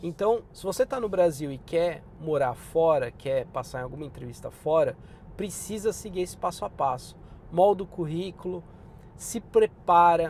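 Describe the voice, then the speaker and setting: A man speaks with a high pitch and lively intonation. His loudness swings widely. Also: moderate pace. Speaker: podcaster and career advice youtuber. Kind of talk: casual vlog advice. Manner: informal, conversational.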